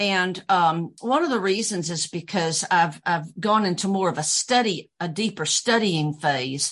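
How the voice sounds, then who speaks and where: Against a quiet background, a woman of medium pitch with a slight Southern US accent speaks at a fairly slow pace, with ordinary pitch variation and hardly any pauses. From US South, Georgia. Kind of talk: casual interview chat.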